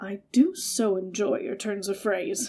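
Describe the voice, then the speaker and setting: Putting on a raspy character voice, a woman speaks at medium pitch and a fairly slow pace with ordinary pitch variation. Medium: read story. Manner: gallant, formal.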